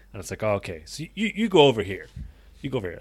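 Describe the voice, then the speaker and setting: A man speaks with an Irish accent in a very clean recording with a silent background. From Ireland. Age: 20s. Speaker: podcast co-host. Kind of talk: casual chat. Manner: soft-spoken.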